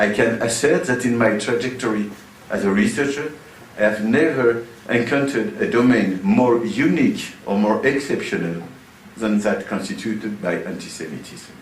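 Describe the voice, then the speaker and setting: A man with a French accent speaks at a medium pitch and a moderate pace, with ordinary pitch variation. Noticeable background noise and audible room echo are present. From France. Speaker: sociology professor. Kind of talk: lecture. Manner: hesitant, with many uh fillers.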